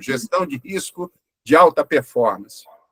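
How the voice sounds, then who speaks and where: The speaker is a man. Ordinary pitch variation marks his speech. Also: dry, close sound with no echo. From Brazil, Curitiba. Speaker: webinar moderator. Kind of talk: webinar panel discussion. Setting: online webinar.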